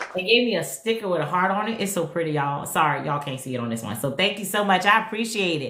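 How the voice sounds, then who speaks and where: A woman talks at a very fast pace over noticeable background noise, with audible echo in the room. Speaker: retired nurse turned digital marketer. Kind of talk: livestream chat. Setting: TikTok live stream. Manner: casual, upbeat.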